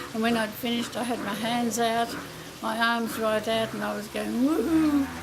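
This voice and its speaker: Background noise is noticeable. Room echo can be heard as well. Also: woman. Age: 80s+. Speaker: grandmother sharing experience. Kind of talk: personal anecdote.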